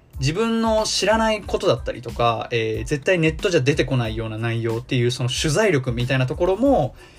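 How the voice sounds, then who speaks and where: A man talking at a fairly quick pace with hardly any pauses. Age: 20s. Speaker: podcast host. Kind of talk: solo podcast talk. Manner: many filler words (えー).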